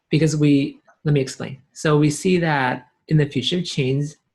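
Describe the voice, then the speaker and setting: A man is talking. There is some breathiness in his voice. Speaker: blockchain company CEO. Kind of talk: interview. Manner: fast.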